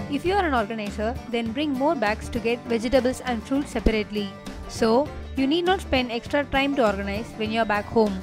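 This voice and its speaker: Over background music, a woman with a fairly high pitch speaks at a fairly quick pace with ordinary pitch variation. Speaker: lifestyle blogger. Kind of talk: tips video narration.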